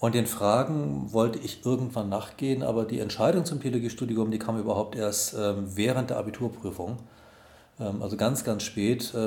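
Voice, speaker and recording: A man's medium-pitched voice with ordinary pitch variation, at a moderate pace, with audible room echo. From Germany (Solingen and Wuppertal, partly Tehran). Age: 50s. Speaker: pastor. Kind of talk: interview. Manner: hesitant with fillers.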